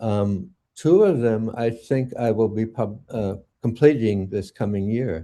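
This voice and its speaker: The man has a dark, mellow tone and speaks at a very slow pace. His background is quiet. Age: 70s. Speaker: poet. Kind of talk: interview. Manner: halting.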